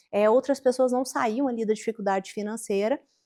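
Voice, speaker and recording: A woman talks at a fairly quick pace in a dry, close sound with no echo and a quiet background. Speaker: marketing agency owner. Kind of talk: interview.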